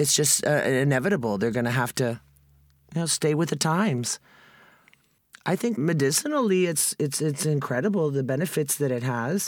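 In a very clean recording with a silent background, a woman with an American accent speaks at a moderate pace in a very deep, low voice, with lively intonation, very even loudness, and long, frequent pauses. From Texas. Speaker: former drug smuggler. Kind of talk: interview.

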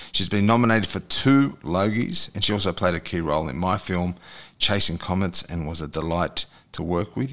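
A man with an Australian accent, very deep and low in pitch, lively intonation, a fairly quick pace, very clean recording and a silent background. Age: 40s. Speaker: podcast host. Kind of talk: casual chat.

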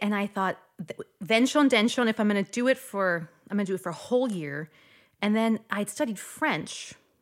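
At a moderate pace and medium pitch, a woman with a slight Midwestern accent speaks with lively intonation. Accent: general American, slight Midwestern. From US, North Dakota. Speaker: opera singer. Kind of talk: casual interview chat.

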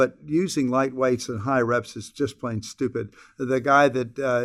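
The recording is very clean, with a silent background. A man speaks with monotone, flat intonation. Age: 70s. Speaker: retina surgeon. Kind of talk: interview. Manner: repetitive stammer on word starts.

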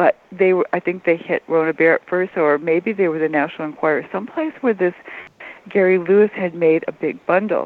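A woman with a plain, everyday voice, ordinary pitch variation and a fairly quick pace. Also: fairly low pitch for a woman. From Detroit, Michigan. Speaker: music journalist. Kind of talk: interview.

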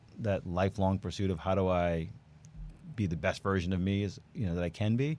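In an American accent, a man with an ordinary speaking voice and fairly low pitch speaks at a fairly quick pace with ordinary pitch variation. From New York. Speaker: plastic surgeon. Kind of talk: casual chat.

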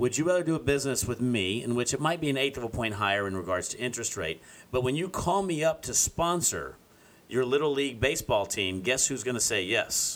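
A man at a medium pitch talks with lively intonation. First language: Spanish. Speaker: radio host. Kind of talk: casual chat.

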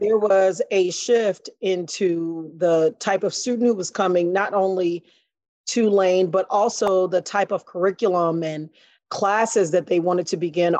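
Here a woman speaks with an American accent in a plain, everyday voice, medium in pitch with fairly even intonation. The sound is dry and close with no echo, over a quiet background. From Chicago West Side. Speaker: high school principal. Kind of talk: interview.

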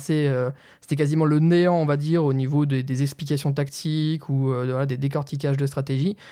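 Monotone, flat intonation and a dark, mellow tone come at a fairly quick pace on a very clean recording with a silent background. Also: man. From France, Nancy (Lorraine). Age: 20s. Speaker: esports analyst. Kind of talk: interview. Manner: hesitant, many fillers.

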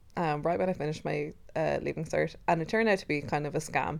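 A woman speaks with an Irish accent. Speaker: podcast co-host. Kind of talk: casual chat. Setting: recording in bed at home. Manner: loud.

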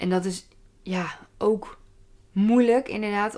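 A woman talks at a very slow pace with fairly even intonation. The recording is very clean, the background silent. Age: 30s. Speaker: podcaster. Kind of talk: casual solo monologue.

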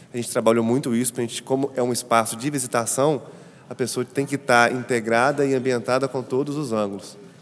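Delivering his words in a monotone, flat way, a man talks fairly quickly. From Brazil, Ouro Preto, Minas Gerais. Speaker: architect and set designer. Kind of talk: interview about an exhibition space.

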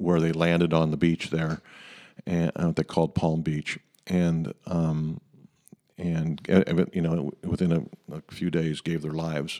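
In a dry, close recording with no echo, a man with an American accent speaks at a fairly slow pace, his very deep, low pitch and dark, mellow tone held in monotone, flat intonation. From Ecuador (missionary kid, US family). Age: 60s. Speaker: pastor. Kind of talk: casual chat.

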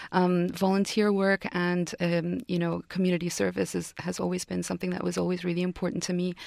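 A woman's fairly low voice with an Arabic accent, monotone and flat, at a fairly quick pace with hardly any pauses. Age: young. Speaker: TV talk show co-host and actress. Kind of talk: interview. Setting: radio studio.

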